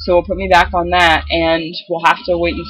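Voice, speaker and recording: A woman's voice, fairly low in pitch. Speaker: video blogger. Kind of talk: casual vlog update. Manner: hesitant, many filler ums.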